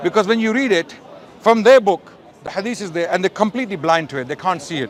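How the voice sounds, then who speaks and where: Against crowd noise in the background, a man with a high pitch talks at a very fast pace in an animated tone with lively intonation. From Pakistan. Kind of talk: heated debate.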